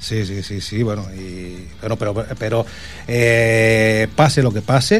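This man talks at a medium pitch with noticeable noise in the background. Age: 40s. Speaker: radio host. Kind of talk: casual chat. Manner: animated.

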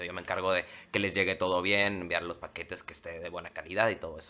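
A man with a Mexican accent at a very fast pace. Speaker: television presenter. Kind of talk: casual chat.

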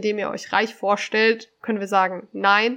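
Her fairly high voice holds a monotone, flat intonation as the woman talks at a moderate pace. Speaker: podcast co-host. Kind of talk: casual chat. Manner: articulate, presentational.

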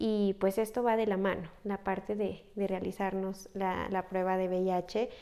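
A woman's medium-pitched voice with a dark, mellow tone, monotone, flat intonation and very even loudness, at a fairly slow pace with hardly any pauses. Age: 20s. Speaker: psychologist. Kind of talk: casual interview.

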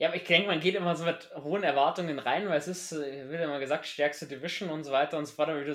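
A man's voice with fairly high pitch. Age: 20s. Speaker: podcast host. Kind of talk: casual chat. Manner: animated.

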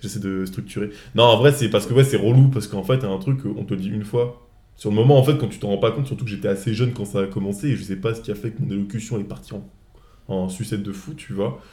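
Very fast, a man with a dark, mellow tone talks at a fairly low pitch with ordinary pitch variation. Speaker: podcast host. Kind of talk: casual chat. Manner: halting.

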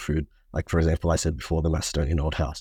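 In a very clean recording with a silent background, a man with an Australian accent speaks very fast in a somewhat breathy voice. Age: 20s. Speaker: student society president. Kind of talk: interview.

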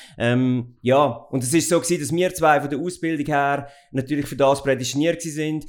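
A man keeps a fairly high pitch and fairly even intonation while speaking at a moderate pace. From Central Switzerland (Goldau, Schwyz). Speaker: company owner and managing director. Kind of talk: interview. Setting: office. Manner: hesitant, many fillers.

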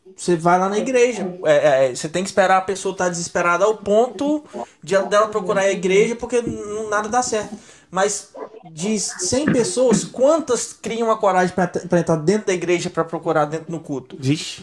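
Music plays in the background. A man talks at a moderate pace with a high pitch. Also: ordinary pitch variation. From Minas Gerais, Brazil. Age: 30s. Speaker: podcast host. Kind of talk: casual chat.

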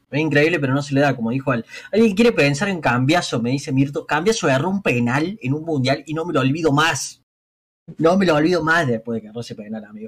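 Lively intonation marks this man's somewhat breathy voice. He talks at a very fast pace and a fairly high pitch. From Argentina, Córdoba. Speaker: fighting game team captain. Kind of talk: casual interview.

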